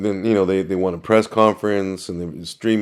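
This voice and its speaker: A man with a plain, everyday voice speaks with fairly even intonation on a very clean recording with a silent background. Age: 60s. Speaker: news cameraman. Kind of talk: casual chat.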